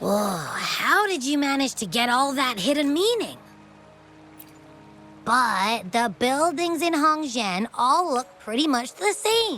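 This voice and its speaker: Over clear background music, a female-sounding cartoonish character voice speaks at a fairly slow pace with a high pitch. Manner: chatty, playful.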